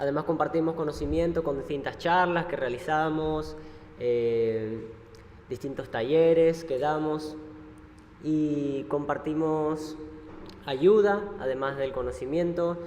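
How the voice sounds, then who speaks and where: Audible room echo surrounds a man who speaks very slowly with a fairly high pitch. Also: ordinary pitch variation. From Argentina. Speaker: missionary ship crew member. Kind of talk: church talk presentation. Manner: hesitant, many fillers.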